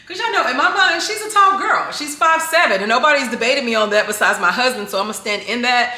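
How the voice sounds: In a room with audible echo, a woman talks at a fairly quick pace with a fairly high pitch, a bright, sharp tone and ordinary pitch variation.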